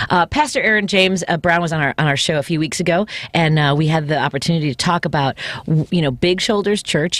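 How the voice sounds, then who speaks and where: A woman with a fairly low pitch and ordinary pitch variation talks at a fairly quick pace, the sound dry and close with no echo. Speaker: radio host and comedian. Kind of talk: casual chat. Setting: studio. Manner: fast.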